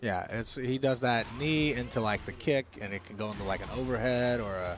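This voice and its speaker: Ordinary pitch variation at a fairly quick pace, over noticeable background noise. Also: man, medium pitch for a man. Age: 40s. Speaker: fighting game stream co-host. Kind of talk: casual chat. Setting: livestream watch party.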